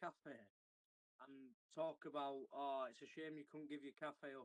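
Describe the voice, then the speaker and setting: This man speaks with a Yorkshire accent, recorded dry and close with no echo at all. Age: 20s. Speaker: rugby league player. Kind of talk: interview. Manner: halting.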